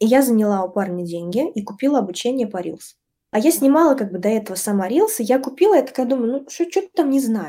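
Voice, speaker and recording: A woman's very fast, fairly high-pitched speech in a dark, mellow tone with very wide pitch swings, on a very clean recording with a silent background. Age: 20s. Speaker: brand designer and design teacher. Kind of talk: podcast interview.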